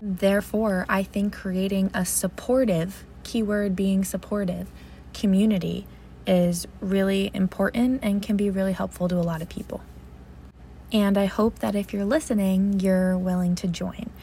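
A woman with an American accent speaks at a moderate pace in a dark, mellow tone, somewhat breathy, with fairly even intonation. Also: medium pitch for a woman. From New Jersey. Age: 20s. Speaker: podcast host, premed student. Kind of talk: casual monologue.

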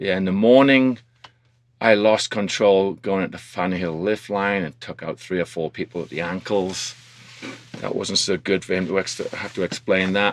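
A man with an American accent and a very deep, low pitch, at a moderate pace with ordinary pitch variation. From industrial northern England. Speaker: snowboard instructor and ski school manager. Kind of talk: casual interview.

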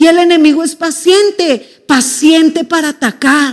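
A woman speaking at a fairly slow pace. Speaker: pastor. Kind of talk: sermon.

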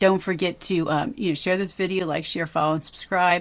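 A woman speaks in an enthusiastic tone with a fairly low pitch and ordinary pitch variation. The recording is very clean, with a silent background. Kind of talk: devotional Bible discussion. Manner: conversational, enthusiastic.

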